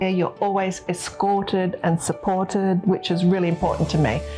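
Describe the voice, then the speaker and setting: Against noticeable background noise, a woman of medium pitch speaks with an Australian accent at a moderate pace. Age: 60s. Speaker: patient giving a clinic testimonial. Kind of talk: testimony. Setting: abroad at the clinic after surgery.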